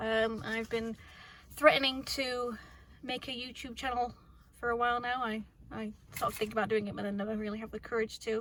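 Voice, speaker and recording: Fairly quick yet broken by long, frequent pauses, a woman's fairly high voice stays monotone and flat against noticeable background noise. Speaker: mechanic. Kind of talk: casual talk to camera. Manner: quiet, fast.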